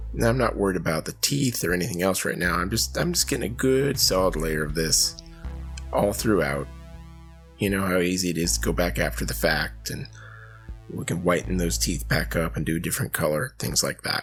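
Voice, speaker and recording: A man with a very deep, low pitch and very wide pitch swings, music in the background. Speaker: miniature painter. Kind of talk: painting tutorial narration. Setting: travel recording, not studio. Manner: casual, conversational.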